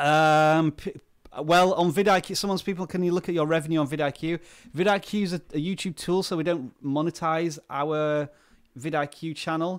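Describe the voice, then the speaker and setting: A voice with a British accent speaks at a moderate pace with fairly even intonation, in a very clean recording with a silent background. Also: man, fairly high pitch for a man. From UK. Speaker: YouTuber, tech video creator. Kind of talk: live stream Q&A reading chat. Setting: solo live stream. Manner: casual, hesitant with fillers.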